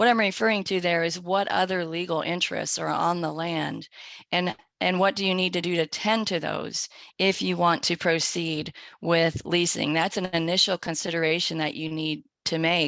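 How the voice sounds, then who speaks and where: Against a quiet background, a woman with a normal speaking voice talks at a moderate pace, her pitch fairly low and her intonation fairly even. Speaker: webinar presenter on agricultural law. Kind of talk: webinar presentation. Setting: online webinar.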